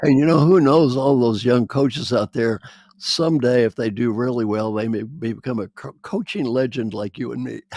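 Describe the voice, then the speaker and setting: A man with a medium pitch and a dark, mellow tone is heard in a dry, close recording with no echo. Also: ordinary pitch variation, moderate pace. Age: 70s. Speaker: interviewer and coach. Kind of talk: interview.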